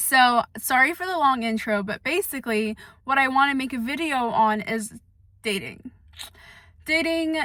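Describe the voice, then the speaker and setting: Loud and high-pitched, a woman speaks with a bright, sharp tone and ordinary pitch variation. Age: 20s. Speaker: vlogger. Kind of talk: casual chat. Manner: soft-spoken.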